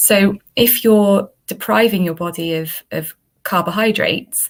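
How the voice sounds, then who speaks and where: In a Welsh accent, a woman speaks at medium pitch and a fairly slow pace with ordinary pitch variation. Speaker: dietitian. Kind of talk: interview.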